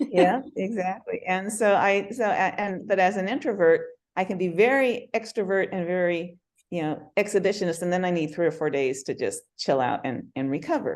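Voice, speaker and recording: Against a quiet background, a woman speaks at a moderate pace. Her medium-pitched voice has lively intonation. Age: 60s. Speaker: health coach, bikini competitor client. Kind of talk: interview. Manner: halting, repeats words.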